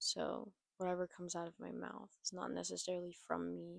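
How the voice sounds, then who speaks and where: Soft-spoken woman, recorded with a dry, close sound and no echo. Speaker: vlogger. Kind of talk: reflective monologue. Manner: quiet.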